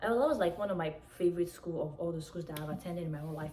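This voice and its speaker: The pitch varies in an ordinary way. Noticeable background noise runs underneath. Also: woman. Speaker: YouTuber. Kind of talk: story time, casual vlog. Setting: at home, outdoors in sun. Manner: animated; quieter than usual.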